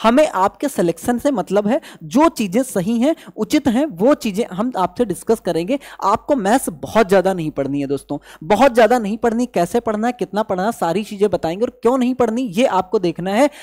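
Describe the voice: A high-pitched man talks fairly quickly with few pauses, lively intonation and a slightly mellow tone, in a dry, close sound with no echo.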